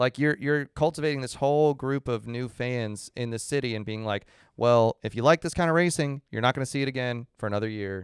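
A man with a plain, everyday voice, medium pitch and ordinary pitch variation, fairly quick with hardly any pauses, in a dry, close sound with no echo. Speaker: podcast co-host.

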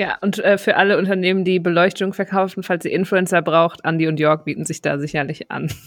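A normal speaking voice moves at a fairly quick pace with hardly any pauses. The intonation stays fairly even. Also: woman, medium pitch for a woman. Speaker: podcast host and moderator. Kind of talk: casual chat among podcast hosts.

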